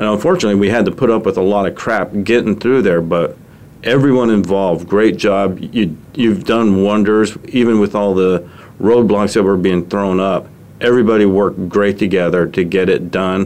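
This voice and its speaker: Fairly low in pitch, a man with an unremarkable speaking voice talks at a moderate pace with fairly even intonation and very even loudness. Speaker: radio show host. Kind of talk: casual interview, chatty.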